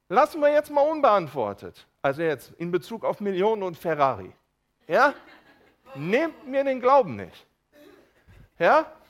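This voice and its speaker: An animated man's voice, high-pitched, with very wide pitch swings, a fairly slow pace and long, frequent pauses. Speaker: preacher. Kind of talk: sermon. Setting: church with congregation. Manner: informal and humorous, with jokes and asides to the congregation; animated, calling out to listeners and slowing down to explain.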